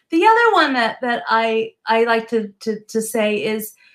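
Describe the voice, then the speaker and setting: This woman has a normal speaking voice with an American accent. Her pitch is fairly high and varies in an ordinary way. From US Northeast. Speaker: business and success coach. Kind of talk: casual interview chat.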